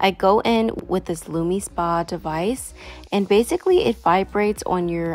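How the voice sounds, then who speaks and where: A woman's fairly low voice with ordinary pitch variation, dry with no echo, over faint music in the background. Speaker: beauty vlogger. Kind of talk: product tutorial narration. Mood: calm, relaxed.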